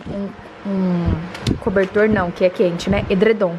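A woman's voice over noticeable background noise. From Brazil. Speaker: vlogger, mother of twins; vlogger. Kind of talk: casual home vlog. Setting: at home. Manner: animated. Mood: cheerful, relaxed. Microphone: phone near.

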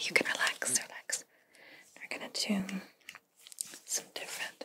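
Whispering is what this woman does. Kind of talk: soft-spoken role-play. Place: home room.

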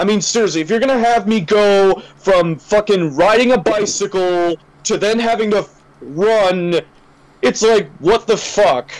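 A man in an American accent, high pitched with ordinary pitch variation, very even loudness and a fairly slow pace. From US East Coast. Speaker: gaming podcast co-host. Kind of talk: casual chat. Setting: online voice call. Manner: animated.

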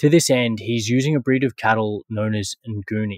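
A man at a moderate pace with fairly even intonation, dry sound with no echo, quiet background. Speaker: podcast host. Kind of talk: podcast intro monologue. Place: home room.

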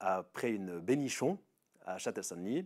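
A man with lively intonation against a quiet background. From Switzerland, Veveyse district, canton of Fribourg; Fribourg, Switzerland. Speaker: local resident; interviewee. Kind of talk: casual personal testimony; interview answer. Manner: hesitant, many filler sounds. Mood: relaxed, telling anecdote. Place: open country. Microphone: lapel.

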